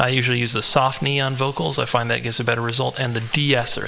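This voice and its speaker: A medium-pitched male voice with fairly even intonation amid noticeable background noise. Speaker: music producer. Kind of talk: tutorial. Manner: halting.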